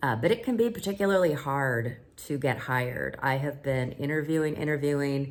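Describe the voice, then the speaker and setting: There is audible room echo as a woman talks at a moderate pace. Her voice is very deep and low in pitch, with lively intonation. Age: 60s. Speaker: vlogger, unemployed recruiter. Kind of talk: personal vlog. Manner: casual, with fillers.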